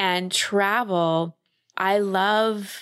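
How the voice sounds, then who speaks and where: This woman speaks at a medium pitch. The sound is dry and close with no echo, and the recording is very clean with a silent background. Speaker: podcast guest. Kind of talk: interview conversation. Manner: animated.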